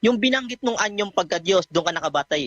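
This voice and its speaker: A man's fairly quick, lively-intoned speech with a bright, sharp tone in a dry, close sound free of echo. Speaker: debater. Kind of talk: heated religious debate. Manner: sharp, pressing, sarcastic, quick-firing.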